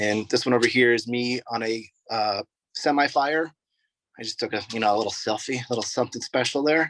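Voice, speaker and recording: In an American accent, a man with an unremarkable speaking voice talks fairly quickly at medium pitch with fairly even intonation, the sound dry and close with no echo. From Oregon, US. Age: 30s. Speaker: firefighter and EMT. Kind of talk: informal presentation to students. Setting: sitting in the back of a rescue vehicle at a fire station, video call.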